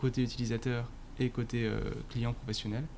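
A man is speaking. His pace is moderate. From Paris suburbs, France. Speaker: marketing director. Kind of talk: interview. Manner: hesitant, many fillers.

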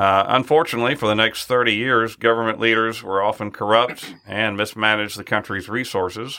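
A man's ordinary speaking voice, medium in pitch with ordinary pitch variation, at a moderate pace. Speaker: podcast co-host. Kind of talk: interview. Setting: studio.

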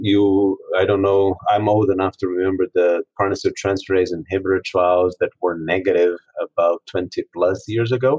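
A man with a fairly low pitch sounds somewhat breathy at a moderate pace. The sound is dry and close with no echo. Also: fairly even intonation, very even loudness. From Brazil. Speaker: oncologist. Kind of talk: expert panel discussion.

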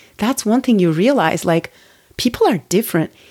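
A woman talks at a moderate pace with a dark, mellow tone. Her pitch swings very widely. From Turkey. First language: Turkish. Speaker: podcast host and life coach. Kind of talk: solo monologue podcast. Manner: conversational with fillers.

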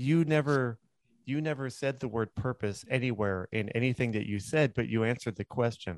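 Over a quiet background, a man talks at a medium pitch and moderate pace with ordinary pitch variation, the sound dry and close with no echo. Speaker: podcast host and attorney. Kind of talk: casual interview. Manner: hesitant, filler-heavy.

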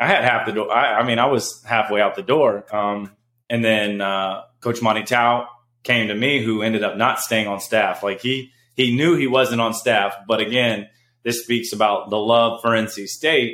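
A man with an ordinary speaking voice talks at a moderate pace using fairly even intonation. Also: medium pitch for a man. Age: 30s. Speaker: former pro basketball player. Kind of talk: casual chat.

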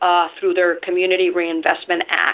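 In a Spanish accent, a woman speaks at a medium pitch and a moderate pace with ordinary pitch variation. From Venezuela. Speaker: nonprofit lender CEO. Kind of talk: interview.

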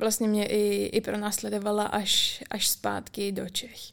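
On a very clean recording with a silent background, a woman with a fairly high pitch speaks at a very slow pace. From Czech Republic, rural village. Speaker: university student. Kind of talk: casual interview.

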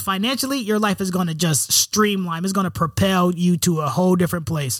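A man keeps a medium tempo, and his pitch varies in a normal way. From US Northeast, Rochester, New York. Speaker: business financial consultant. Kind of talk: interview, casual chat.

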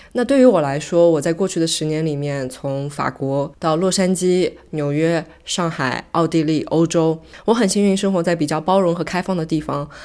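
A woman speaks at a moderate pace with hardly any pauses. Her voice is fairly low in pitch, dark and mellow, with ordinary pitch variation. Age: 30s. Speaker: podcast host. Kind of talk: solo monologue podcast. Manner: casual, code-switching with English.

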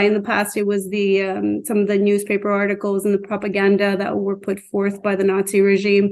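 Fairly quick speech from a woman, medium in pitch. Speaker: teacher. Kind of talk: interview. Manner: halting.

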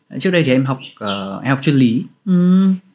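A man speaks at a medium pitch. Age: 20s. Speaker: author and storyteller. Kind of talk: casual interview chat.

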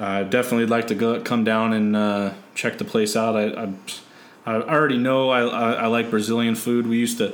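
A man's medium-pitched voice with a Californian accent, fairly quick and fairly even in intonation, with audible room echo. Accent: Californian American. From San Diego, California. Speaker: podcast host. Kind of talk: casual chat.

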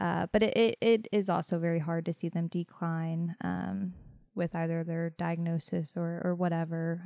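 On a very clean recording with a silent background and a dry, close sound with no echo, a woman speaks at a fairly low pitch and moderate pace, her tone dark and mellow, her intonation fairly even. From northern West Virginia, Fairmont. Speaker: oncology nurse. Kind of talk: interview. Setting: hospital, in person. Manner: hesitant, many fillers.

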